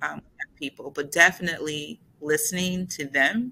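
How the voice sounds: A woman's bright, sharp voice shows vocal fry and ordinary pitch variation.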